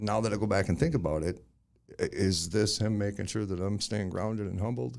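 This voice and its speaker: A man talks at a fairly quick pace and a fairly low pitch, with lively intonation. Vocal fry runs through his voice. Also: very clean recording, silent background. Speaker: podcast host. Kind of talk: casual podcast talk.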